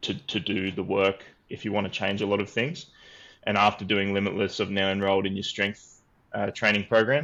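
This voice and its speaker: With an Australian accent, a man speaks at a fairly low pitch in a bright, sharp tone with fairly even intonation. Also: fairly quick pace. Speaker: program member sharing recovery story. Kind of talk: testimony. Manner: halting.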